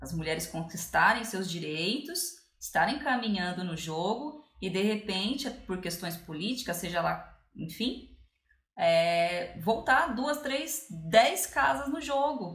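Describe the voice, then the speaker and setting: Over audible room echo, a woman at medium pitch talks at a very slow pace with very wide pitch swings. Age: 30s. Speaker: podcast co-host, biology teacher. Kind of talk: casual chat.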